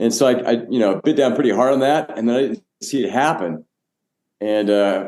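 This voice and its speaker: A man's ordinary speaking voice, medium in pitch, at a moderate pace with ordinary pitch variation and very even loudness. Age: 60s. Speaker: pastor and church planter. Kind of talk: podcast interview.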